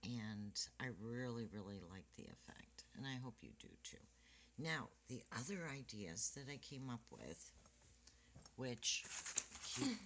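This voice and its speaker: A woman with a very deep, low pitch and vocal fry talks at a fairly slow pace, her lively intonation broken by long, frequent pauses and big swings in loudness. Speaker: card-making crafter. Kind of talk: tutorial. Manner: casual. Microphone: quiet recording, hard to hear.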